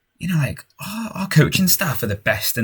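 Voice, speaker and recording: A man talks very fast with lively intonation and a somewhat breathy sound. The recording is very clean, with a silent background. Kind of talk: gaming commentary. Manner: frequent sighing.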